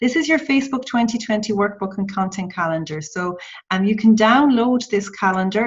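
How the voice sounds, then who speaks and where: Somewhat breathy, a woman's voice carries ordinary pitch variation. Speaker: social media trainer. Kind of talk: tutorial. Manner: halting.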